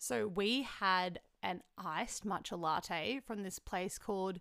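In a very clean recording with a silent background, a woman with an Australian accent speaks at a medium pitch in a bright, sharp tone with ordinary pitch variation. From Melbourne, Australia. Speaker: podcast host. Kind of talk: casual chat.

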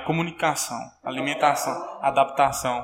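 At a fairly quick pace, a man with an ordinary speaking voice talks at a fairly high pitch with fairly even intonation. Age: 20s. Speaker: professional footballer. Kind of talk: interview.

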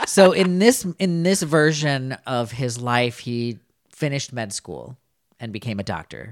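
At a fairly slow pace, a man of medium pitch uses a plain, everyday voice with lively intonation and big swings in loudness. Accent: American. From US Upper Midwest (Minnesota). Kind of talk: casual chat.

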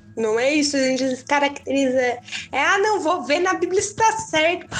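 A high-pitched woman's voice with very wide pitch swings over noticeable background noise. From southern Brazil, Tubarão, Santa Catarina. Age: 20s. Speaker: podcast guest, young churchgoer. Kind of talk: casual chat about faith.

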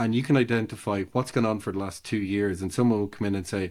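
On a very clean recording with a silent background, a man with an Irish accent talks very fast with ordinary pitch variation. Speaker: ecommerce consultant. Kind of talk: casual interview.

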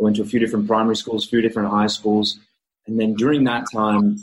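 In an Australian accent, a man talks at a fairly low pitch. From Australia (Melbourne). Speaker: actor. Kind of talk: casual chat interview.

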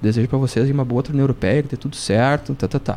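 The speech moves at a very fast pace. Its tone is dark and mellow. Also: man. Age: 40s. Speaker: rock drummer. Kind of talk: casual chat. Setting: studio.

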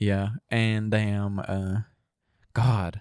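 A man's fairly low voice with a Southern US accent, dry and close with no echo, in a very clean recording with a silent background. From US South. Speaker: podcast co-host. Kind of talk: casual chat.

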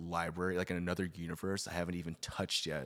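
A man speaks at a very fast pace in a very deep, low voice. The recording is very clean, with a silent background. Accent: American. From Los Angeles suburbs, California. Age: 20s. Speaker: friend of the host. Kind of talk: casual chat. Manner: animated.

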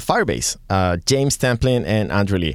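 A man with a Catalan accent, lively in intonation and moderate in pace, on a very clean recording with a silent background. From Catalonia, Spain. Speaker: tech podcast co-host. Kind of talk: casual chat.

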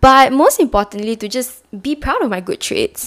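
In an animated tone, the speaker goes at a moderate pace, with a dry, close sound and no echo. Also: woman. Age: 20s. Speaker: podcast host. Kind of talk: solo monologue podcast.

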